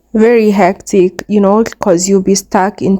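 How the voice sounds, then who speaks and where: In a Kenyan accent, a woman speaks with a dark, mellow tone and medium pitch. Her pace is fairly slow and her intonation fairly even. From Kenya, Murang'a / Thika area. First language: Kikuyu. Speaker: travel vlogger. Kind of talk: travel vlog narration.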